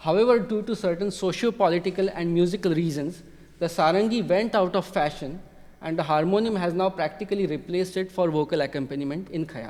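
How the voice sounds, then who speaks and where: This man talks at a very fast pace with a Marathi accent, high in pitch and with ordinary pitch variation. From India, Maharashtra. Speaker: music technology PhD student, researcher. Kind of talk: lecture. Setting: concert hall with audience.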